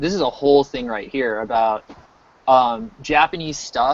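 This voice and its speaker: An ordinary speaking voice belongs to this man, who talks at a moderate pace in a fairly high pitch with lively intonation. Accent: American. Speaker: game artist livestreaming work. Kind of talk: casual chat.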